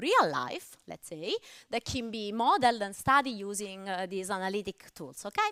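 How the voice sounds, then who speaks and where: Dry and close with no echo, a bright, sharp voice speaks at a moderate pace in an Italian accent. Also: woman. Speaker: mathematics lecturer. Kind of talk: lecture. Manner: hesitant, with fillers.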